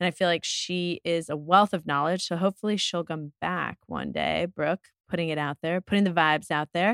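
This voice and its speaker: In a very clean recording with a silent background, a woman talks in a normal speaking voice with a fairly low pitch. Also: dry, close sound with no echo. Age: 40s. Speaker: wine shop owner and podcast host. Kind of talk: casual chat. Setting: studio.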